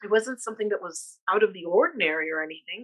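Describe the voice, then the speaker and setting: A woman with an American accent has a bright, sharp tone, captured with a dry, close sound and no echo. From California. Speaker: artist. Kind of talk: panel discussion. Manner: halting, many fillers and repetitions.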